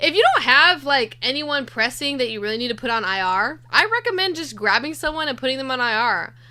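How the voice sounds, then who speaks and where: With hardly any pauses, the speaker uses a raised, projected voice, lively intonation and a fairly quick pace over noticeable background noise. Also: woman, high pitch for a woman. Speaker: fantasy basketball stream host. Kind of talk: casual live Q&A chat. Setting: live stream.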